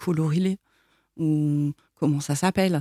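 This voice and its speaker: A woman speaks with a very deep, low pitch and a dark, mellow tone. Her intonation is fairly even, and the sound is dry and close with no echo. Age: 40s. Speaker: president of an association supporting incest survivors. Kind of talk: interview testimony. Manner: hesitant, many fillers.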